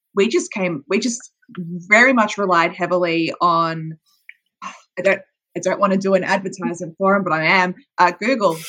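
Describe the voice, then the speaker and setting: Using a bright, sharp tone, a woman with an Australian accent speaks at medium pitch and a moderate pace with ordinary pitch variation. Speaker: audio drama producer. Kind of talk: podcast interview.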